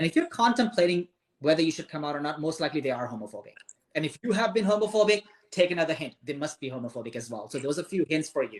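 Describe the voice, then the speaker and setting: Speaking in a Pakistani accent, a man uses lively intonation. His pitch is fairly high. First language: Urdu. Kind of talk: live-stream interview.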